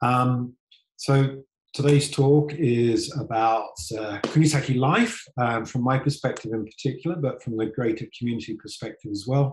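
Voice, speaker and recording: Medium-pitched, somewhat breathy man's voice with a British accent, fairly even intonation and a moderate pace. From UK. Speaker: tour company executive. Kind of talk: online presentation talk. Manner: halting, many ums and restarts.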